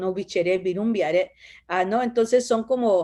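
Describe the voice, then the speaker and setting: Speaking with an Oaxacan accent, a woman has a dark, mellow tone and ordinary pitch variation. She keeps a moderate pace over a quiet background. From Oaxaca, Mexico (Zapotec village), raised in Los Angeles from age 10. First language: Zapotec (speaking Spanish). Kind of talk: interview. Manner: hesitant, many fillers.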